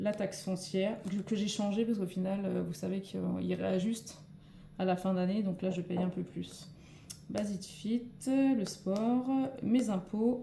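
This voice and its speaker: Using vocal fry, a woman speaks at a fairly slow pace with medium pitch and ordinary pitch variation. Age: 40s. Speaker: nurse and budgeting vlogger. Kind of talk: tutorial. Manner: hesitant, many fillers.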